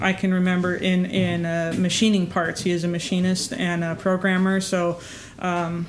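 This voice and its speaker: With music in the background and audible room echo, a woman with an American accent speaks at a medium pitch and a fairly slow pace in a monotone, flat intonation. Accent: slight Canadian-sounding. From northern Idaho. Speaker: pilot. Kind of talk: interview testimony.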